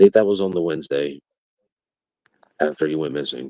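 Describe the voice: A man speaks at a fairly quick pace. His tone is dark and mellow, with fairly even intonation.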